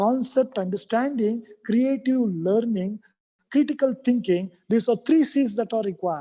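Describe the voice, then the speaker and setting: Someone speaks at a moderate pace in a Kannada accent. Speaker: academic speaker at university event. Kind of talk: formal speech. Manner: halting.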